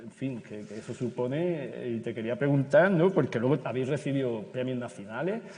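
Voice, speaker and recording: At a moderate pace with hardly any pauses, a man with an Andalusian accent speaks in a dark, mellow tone at medium pitch, his intonation lively and his loudness swinging widely. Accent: Granada Andalusian. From Granada, Andalusia, Spain. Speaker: teacher moderating a panel. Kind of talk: panel discussion moderation. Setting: stage with audience at a conference. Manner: halting, many repetitions and fillers.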